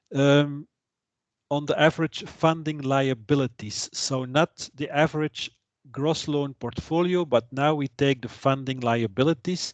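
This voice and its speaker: A man's fairly high voice with a Flemish accent, fairly slow and fairly even in intonation, in a dry, close sound with no echo. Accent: Flemish Dutch accent in English. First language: Dutch. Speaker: trainer. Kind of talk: lecture. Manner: halting.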